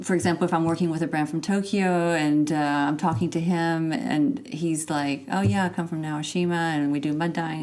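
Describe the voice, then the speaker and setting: Speaking with an American accent and an unremarkable speaking voice, a woman talks at a moderate pace with lively intonation and a fairly low pitch. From Texas, USA. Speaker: fashion PR agency founder. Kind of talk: interview answer.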